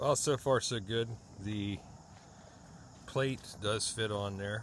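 A man's voice with ordinary pitch variation, dry with no echo, over light background noise. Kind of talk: casual vlog chat. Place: farm machine. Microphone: phone near.

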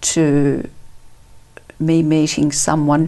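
Her pitch is very deep and low for a woman, with an Australian accent. She speaks at a very slow pace. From Italy, raised in Perth, Australia from age 10; Italy. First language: Italian. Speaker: author and counsellor; interview guest. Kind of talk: testimony. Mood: warm, reflective storytelling. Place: studio. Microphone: lapel.

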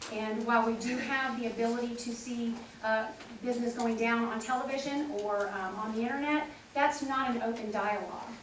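The intonation stays fairly even. Noticeable background noise and audible room echo surround the voice. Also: woman. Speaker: political candidate. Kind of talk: forum answer. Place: meeting room.

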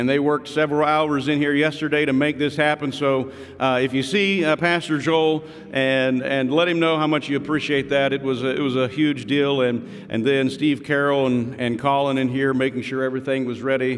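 A man talking at a fairly quick pace, his intonation fairly even. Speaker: pastor. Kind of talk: church welcome and announcements, then prayer. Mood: warm, grateful. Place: church. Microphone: podium.

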